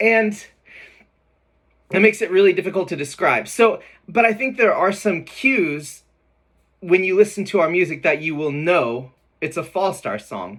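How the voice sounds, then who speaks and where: At a high pitch with ordinary pitch variation, a man speaks at a moderate pace with long, frequent pauses. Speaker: band singer and musician. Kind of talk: casual talk to camera. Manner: casual, many fillers.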